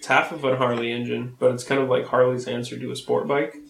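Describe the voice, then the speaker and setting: Noticeable background noise behind a man talking at a fairly quick pace. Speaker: podcast co-host. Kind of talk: casual chat.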